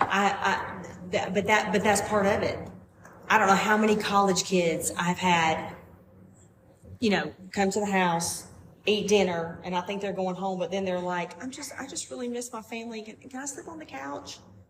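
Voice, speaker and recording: Against noticeable background noise, a woman speaks at a moderate pace with a strong Southern US accent. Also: medium pitch for a woman, ordinary pitch variation. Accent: thick Southern US. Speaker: podcast guest. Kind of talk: casual chat. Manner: animated.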